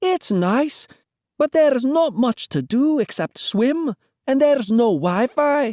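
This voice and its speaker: A put-on character voice, pitched high and delivered at a fairly slow pace. The recording is very clean, with a silent background. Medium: read story.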